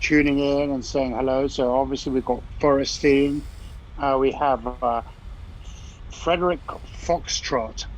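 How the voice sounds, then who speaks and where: Over noticeable background noise, a man speaks with an English accent and monotone, flat intonation. His pace is fairly slow, with long, frequent pauses. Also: fairly high pitch for a man. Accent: English, still audible after 20 years in US. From England. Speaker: live stream co-host, modular synth musician. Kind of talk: casual chat.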